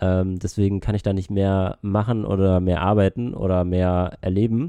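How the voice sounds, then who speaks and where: A man's very deep, low voice with a dark, mellow tone, flat monotone delivery and a fairly quick pace against a quiet background. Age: 20s. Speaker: travel podcaster. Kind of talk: casual chat.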